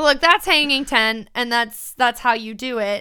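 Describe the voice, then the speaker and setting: A woman speaks loudly in an energetic tone with a high pitch. Her pace is fairly slow. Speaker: podcast co-host. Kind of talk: casual chat.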